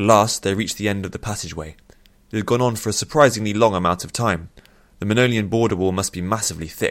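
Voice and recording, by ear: Someone is reading aloud. The voice is natural.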